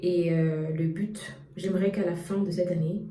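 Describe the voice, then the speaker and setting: A woman speaks at a fairly slow pace in a fairly low pitch with monotone, flat intonation, over noticeable background noise and audible room echo. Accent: Central African. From Cameroon. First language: Bangu (speaking French). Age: young. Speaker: YouTuber, data science student. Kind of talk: personal vlog. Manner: hesitant, many fillers.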